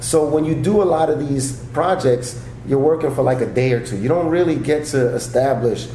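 Over noticeable background noise, a man with a New York accent speaks at a moderate pace with ordinary pitch variation. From New York, the Bronx. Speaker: stand-up comedian and actor. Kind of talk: casual interview chat.

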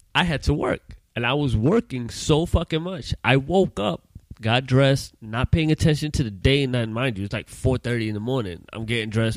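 A man talks at a fairly quick pace in a normal speaking voice, with hardly any pauses. His pitch varies in an ordinary way, and the sound is dry and close with no echo. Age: 30s. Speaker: podcast co-host. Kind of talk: casual chat.

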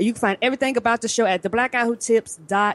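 Here a woman speaks with lively intonation. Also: dry, close sound with no echo. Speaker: podcaster.

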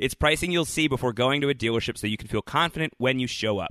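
The speaker has a plain, everyday voice. The intonation is lively. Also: man. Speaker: podcast host. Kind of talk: casual chat.

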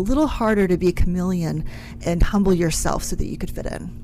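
Someone with an American accent speaks at a very fast pace, with audible room echo. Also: woman. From West Virginia, small town. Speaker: staffing and technology firm CEO. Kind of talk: radio interview.

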